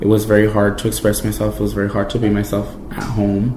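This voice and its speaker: Noticeable background noise and audible room echo surround the voice. A man with a Spanish accent speaks at a fairly low pitch. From Mexico, Jalisco; raised in California from age 5. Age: 20s. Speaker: college student. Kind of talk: interview testimony. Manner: casual with many fillers.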